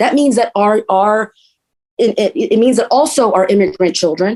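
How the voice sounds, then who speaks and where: Woman with a Spanish accent, dark and mellow in tone, lively intonation, fairly quick pace. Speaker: politician, council candidate. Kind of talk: interview.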